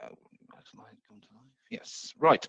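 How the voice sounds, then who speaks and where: A man speaks with an English accent. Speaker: software consultant / presenter. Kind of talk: webinar presentation.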